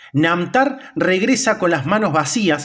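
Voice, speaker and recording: Using very wide pitch swings, a man with a high pitch speaks at a fairly slow pace. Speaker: video channel narrator. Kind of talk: mythology documentary narration. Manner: formal, even-paced, explanatory.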